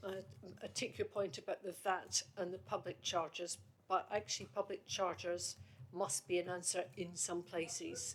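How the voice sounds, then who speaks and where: A woman with a slight Scottish accent at a moderate pace. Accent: faint Scottish tone. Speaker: committee chair. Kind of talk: committee meeting discussion.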